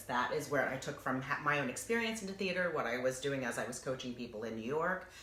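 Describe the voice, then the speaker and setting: The speech comes at a very fast pace in an animated tone. Background noise is noticeable. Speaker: voice and acting coach. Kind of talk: interview.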